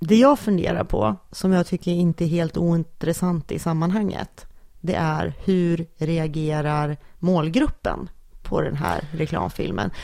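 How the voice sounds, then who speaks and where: A woman's dark, mellow tone at a fairly low pitch, with ordinary pitch variation and a fairly slow pace. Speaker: podcast co-host. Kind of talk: casual chat.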